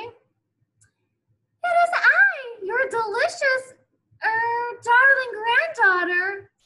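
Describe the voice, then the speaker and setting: A woman uses a put-on character voice at an extremely high pitch. She speaks fairly slowly, with long, frequent pauses. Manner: sly, feigning sweetness.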